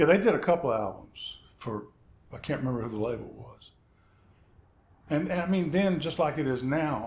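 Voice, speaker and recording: A man's somewhat breathy, fairly high voice at a moderate pace, with lively intonation, big swings in loudness, long, frequent pauses and audible room echo. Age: 60s. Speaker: session guitarist. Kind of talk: casual chat.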